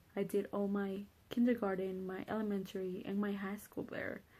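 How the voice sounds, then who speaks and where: With a Spanish accent, a woman talks at a moderate pace in a dark, mellow tone and medium pitch. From Honduras. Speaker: college student. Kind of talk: personal introduction monologue. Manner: casual, hesitant with fillers.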